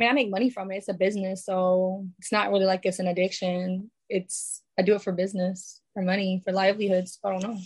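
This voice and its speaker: A woman with a New York accent speaks at a very fast pace with hardly any pauses. Her medium pitch sounds somewhat breathy, and her intonation stays monotone and flat. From New York, the Bronx. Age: 20s. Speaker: musician and filmmaker. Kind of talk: casual interview.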